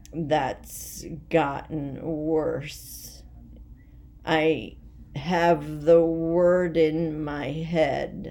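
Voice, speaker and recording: A woman speaks very slowly in a very deep, low voice, her tone dark and mellow and her intonation flat and monotone, with audible room echo. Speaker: vlogger sharing health journey. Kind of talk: personal video diary. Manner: halting, word-finding pauses.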